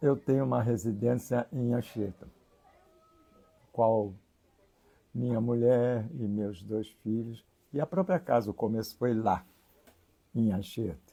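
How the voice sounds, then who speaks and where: A man with a dark, mellow tone talks at a very slow pace, leaving long, frequent pauses. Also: medium pitch for a man, ordinary pitch variation. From Rio de Janeiro, Brazil (Engenho de Dentro). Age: 80s+. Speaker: religious leader (priest). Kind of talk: interview.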